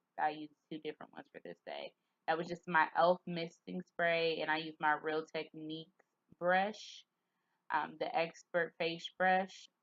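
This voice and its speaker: Her loudness swings widely as the woman speaks fairly slowly in a fairly low, flat monotone, the sound dry and close with no echo. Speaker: beauty vlogger. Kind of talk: tutorial. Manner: casual, chatty.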